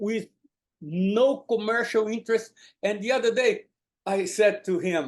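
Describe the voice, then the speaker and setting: With long, frequent pauses, a man talks in a high pitch. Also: ordinary pitch variation, fairly slow pace. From Brazil (São Paulo). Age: 70s. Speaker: horse trainer. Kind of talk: interview conversation. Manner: halting, many repetitions and fillers.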